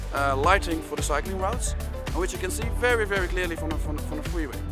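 Clear music plays in the background while the speech runs at a very fast pace in a dry sound with no echo. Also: man. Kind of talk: interview answer. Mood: enthusiastic, explanatory. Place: street.

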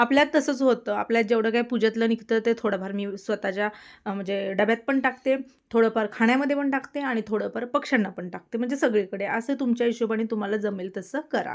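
An ordinary speaking voice from a woman, fairly high in pitch with ordinary variation, on a very clean recording with a silent background. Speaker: vlogger. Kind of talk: casual vlog narration.

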